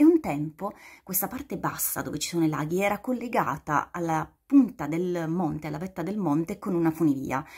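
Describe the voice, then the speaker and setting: Against a quiet background, the somewhat breathy voice moves at a fairly quick pace with lively intonation. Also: woman, fairly low pitch for a woman. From Basilicata, southern Italy. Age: 40s. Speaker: guest. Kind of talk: short video appeal. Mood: warm, enthusiastic. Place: home room. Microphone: phone near.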